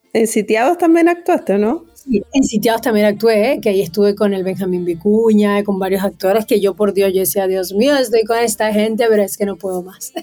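With a dark, mellow tone and lively intonation, a woman speaks at a fairly quick pace with hardly any pauses. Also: medium pitch for a woman. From Venezuela. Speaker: singer-songwriter. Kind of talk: interview.

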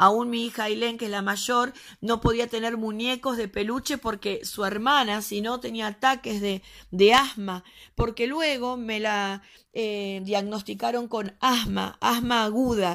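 A woman's unremarkable speaking voice, fairly high in pitch with fairly even intonation, on a very clean recording with a silent background. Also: fairly slow pace. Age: 40s. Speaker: pastor. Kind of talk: testimony.

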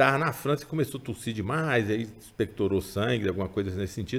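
A man talks in a normal speaking voice at medium pitch with ordinary pitch variation. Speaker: writer of chronicles, member of political family. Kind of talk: casual interview.

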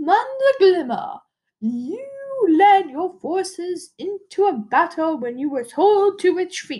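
In a put-on character voice, a woman talks at an extremely high pitch and a fairly slow pace. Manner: stern, commanding.

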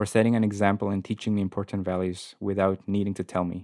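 Speaking at a very fast pace with a Spanish accent, a man with a fairly low pitch and a dark, mellow tone is captured in a very clean recording with a silent background. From South Korea and Guatemala. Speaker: university accessibility advisor. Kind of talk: casual interview chat. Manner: friendly, enthusiastic.

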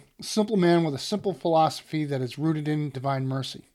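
A man with a fairly high pitch uses an unremarkable speaking voice with ordinary pitch variation. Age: 50s. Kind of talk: casual chat.

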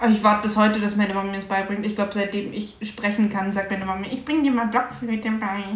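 Over noticeable background noise and audible room echo, a woman rushes at a very fast pace in a flat monotone, with hardly any pauses. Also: medium pitch for a woman. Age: 20s. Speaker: podcast co-host. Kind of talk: casual chat.

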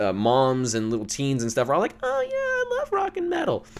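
The pitch moves with ordinary variation. It is an ordinary speaking voice. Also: man. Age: 20s. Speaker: podcast host and musician. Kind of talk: solo monologue, casual commentary.

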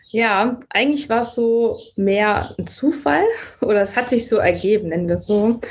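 With noticeable background noise behind her, a woman speaks at a moderate pace, her fairly high pitch showing ordinary variation. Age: 30s. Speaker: vegan nutrition consultant. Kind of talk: casual interview. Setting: remote call.

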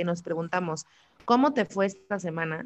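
Speaking at a fairly quick pace in a Mexican accent, a woman uses lively intonation at a medium pitch. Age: 30s. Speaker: podcast host. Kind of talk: casual chat. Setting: live stream.

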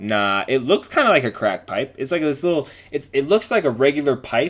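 Over music in the background, a man with a fairly high pitch talks at a fairly quick pace, his voice making very wide pitch swings. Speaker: podcast host. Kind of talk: casual chat.

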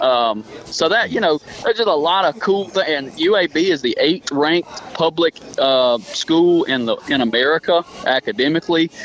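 A man with a Deep South accent, lively intonation and very even loudness at a moderate pace, in a dry, close sound with no echo and noticeable background noise. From southern Alabama. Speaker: college softball coach. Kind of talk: casual radio interview.

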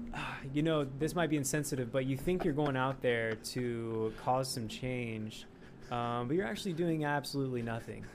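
A man speaks at medium pitch and a moderate pace, with ordinary pitch variation and audible room echo. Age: 20s. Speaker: sketch comedian. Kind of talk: casual chat.

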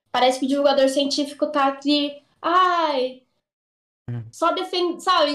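With fairly even intonation, this woman talks at a moderate pace. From São Paulo, Brazil. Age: 20s. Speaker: physicist and science communicator. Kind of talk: casual chat.

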